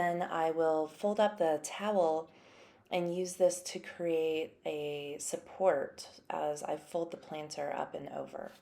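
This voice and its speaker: Soft-spoken and very slow, a woman talks with fairly even intonation. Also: fairly low pitch for a woman. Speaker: ceramic artist. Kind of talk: narrated craft tutorial.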